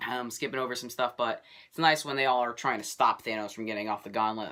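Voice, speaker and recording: The man's voice has a bright, sharp tone. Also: very clean recording, silent background. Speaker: movie reviewer YouTuber. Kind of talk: casual video review monologue.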